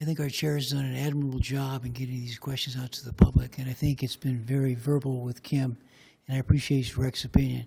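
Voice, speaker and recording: Speaking at a very fast pace, a man uses a medium pitch and a dark, mellow, somewhat breathy tone, his intonation monotone and flat while his loudness swings widely. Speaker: county commissioner. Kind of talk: public meeting remarks. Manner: quiet.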